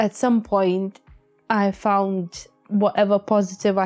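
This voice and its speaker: Music plays in the background as a woman speaks at a fairly slow pace. Her medium-pitched voice is shaky. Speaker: podcast co-host. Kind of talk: emotional personal talk about grief. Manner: shaky, emotional.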